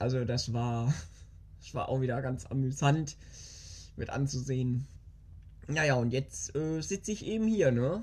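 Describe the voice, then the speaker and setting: Speech comes at a fairly slow pace with lively intonation, a somewhat breathy, dark and mellow tone, and long, frequent pauses. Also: woman, very deep, low pitch for a woman. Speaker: podcast host. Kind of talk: casual monologue. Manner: animated. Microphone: new small microphone.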